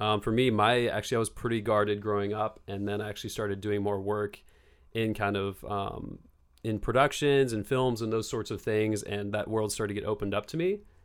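With a West Coast accent, a man speaks at a fairly quick pace in a fairly low pitch and a monotone, flat intonation. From Bend, Oregon. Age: 20s. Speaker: actor and model. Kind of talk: casual chat.

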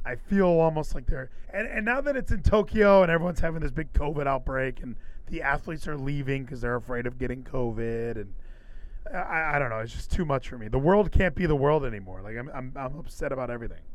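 A man speaks fairly high at a very fast pace. His tone is animated, with lively intonation. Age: 30s. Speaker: podcast host. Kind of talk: casual chat. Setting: live stream.

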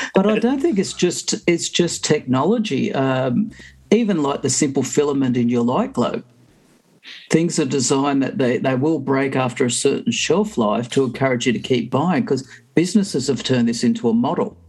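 At a moderate pace, a man with an Australian accent speaks at a fairly high pitch with very wide pitch swings. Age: 50s. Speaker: podcast panelist. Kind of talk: casual chat.

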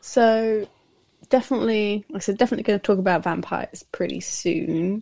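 Heard in a dry, close recording with no echo, a woman with a British accent talks at a medium pitch and a fairly quick pace. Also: ordinary pitch variation. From UK. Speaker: podcaster. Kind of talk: casual interview chat. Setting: remote call.

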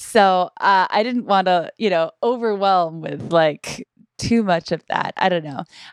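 An unremarkable speaking voice belongs to a woman with an American accent and a medium pitch. She talks at a fairly slow pace with ordinary pitch variation, and the sound is dry and close with no echo. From US Northeast, Boston area. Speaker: podcaster and author. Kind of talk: casual chat.

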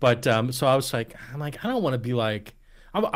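In an eastern Pennsylvania accent, a man speaks with lively intonation on a very clean recording with a silent background. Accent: Eastern Pennsylvania American. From Eastern Pennsylvania, Lehigh Valley (Allentown). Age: 40s. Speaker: podcast host. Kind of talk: casual chat.

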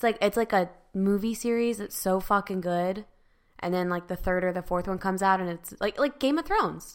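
Speaking at a fairly quick pace, a woman has a medium-pitched voice with ordinary pitch variation and an animated tone. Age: 30s. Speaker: podcast co-host. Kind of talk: casual chat.

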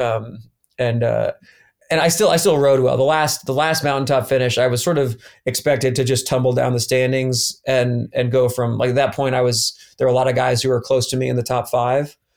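A plain, everyday voice: a man at a medium pitch with an American accent, fairly quick in pace. His intonation is fairly even, his loudness very even, and the recording very clean with a silent background. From US South, Atlanta. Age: 30s. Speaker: former pro cyclist. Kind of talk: casual chat.

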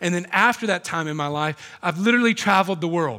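Raising and projecting his voice, a man with an American accent speaks in a bright, sharp tone with ordinary pitch variation. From US South, South Carolina. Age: 40s. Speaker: pastor. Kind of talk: sermon. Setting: church.

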